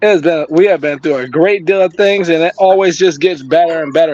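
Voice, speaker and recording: A man talks very fast in a high voice over noticeable background noise. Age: 20s. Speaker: family member. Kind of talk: family tribute speech.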